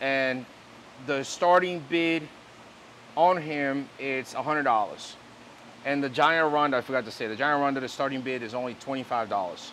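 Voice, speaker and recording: Here a man talks at a fairly slow pace with a fairly high pitch and ordinary pitch variation, leaving long, frequent pauses. Light background noise is present. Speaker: fish seller and auctioneer. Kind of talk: sales pitch, fish auction. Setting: fish facility, filmed on camera. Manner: upbeat, enthusiastic, casual. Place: shop. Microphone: lapel.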